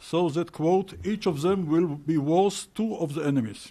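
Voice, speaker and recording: This man has a high pitch, a dark, mellow tone and fairly even intonation. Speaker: retired intelligence officer. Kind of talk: conference talk.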